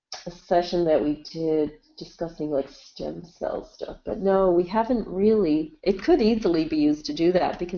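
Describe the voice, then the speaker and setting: A woman speaks in a normal speaking voice, fairly low in pitch. Her intonation is lively and her pace moderate. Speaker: clinical scientist. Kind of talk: webinar Q&A answers. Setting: webinar.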